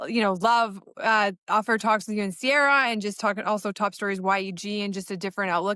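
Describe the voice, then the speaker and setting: Loud and very fast, a woman speaks with a bright, sharp tone against a quiet background, the sound dry and close with no echo. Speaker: podcast co-host and news journalist. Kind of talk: casual chat.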